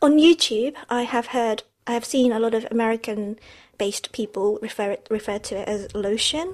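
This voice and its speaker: Speaking in a normal speaking voice, a woman with a fairly high pitch and ordinary pitch variation goes at a fairly slow pace with hardly any pauses, on a very clean recording with a silent background. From England. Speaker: podcast co-host. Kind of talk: casual chat. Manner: frequent switching between Japanese and English.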